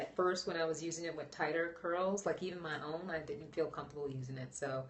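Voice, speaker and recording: A woman talks at a fairly quick pace in a fairly low voice with ordinary pitch variation. Noticeable background noise runs behind her. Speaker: natural hair vlogger. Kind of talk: live stream chat. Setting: live broadcast. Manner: soft-spoken.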